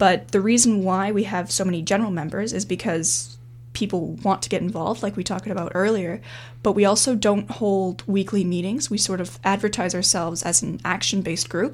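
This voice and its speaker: Fairly quick, lively speech from a woman at medium pitch, with a Canadian accent and vocal fry. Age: 20s. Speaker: university student and climate activist. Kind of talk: interview.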